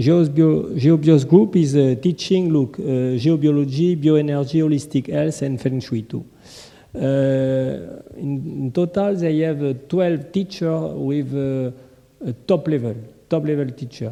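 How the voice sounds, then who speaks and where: In a French accent, a man speaks at a fairly slow pace with a fairly high pitch and ordinary pitch variation. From France. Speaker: conference presenter. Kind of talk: conference presentation. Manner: halting.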